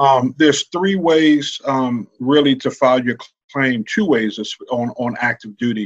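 An unremarkable speaking voice with an American accent moves at a fairly slow pace with ordinary pitch variation, the sound dry and close with no echo. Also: man, medium pitch for a man. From Brooklyn, New York, then Virginia as a teen. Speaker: veterans benefits specialist, army veteran and minister. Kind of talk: casual interview.

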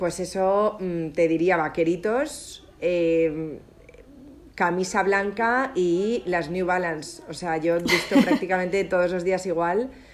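A woman's very slow speech over noticeable background noise. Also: medium pitch for a woman, ordinary pitch variation. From Spain. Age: 30s. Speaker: entrepreneur and former influencer. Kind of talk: interview.

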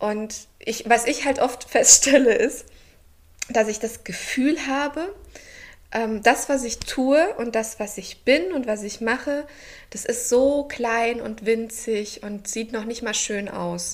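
A high-pitched woman speaks at a very slow pace. Her loudness swings widely while her pitch varies in an ordinary way. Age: 30s. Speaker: pastor. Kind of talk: casual chat.

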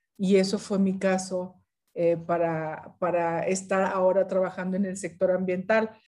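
Her medium-pitched voice has a dark, mellow tone, and the woman speaks at a fairly slow pace with monotone, flat intonation. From northern Mexico, Ciudad Victoria, Tamaulipas. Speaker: UN environment official. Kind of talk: interview.

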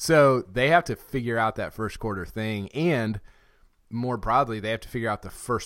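A man with a plain, everyday voice speaks at a moderate pace and medium pitch, his intonation lively and his loudness swinging widely, on a very clean recording with a silent background. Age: 30s. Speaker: podcast host. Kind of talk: casual chat.

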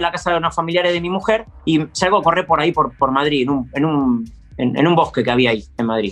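A man talking very fast with lively intonation. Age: 40s. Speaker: amateur runner. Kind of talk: interview. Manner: halting.

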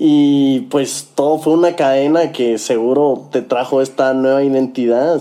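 Against noticeable background noise, a man speaks at a fairly slow pace with fairly even intonation and very even loudness. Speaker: talk show host. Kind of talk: casual interview.

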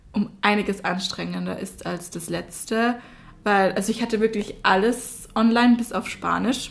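Her voice sits at a medium pitch with vocal fry, fairly even intonation and a moderate pace. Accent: Austrian. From Austria. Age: 20s. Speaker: university student, podcast co-host. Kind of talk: casual chat.

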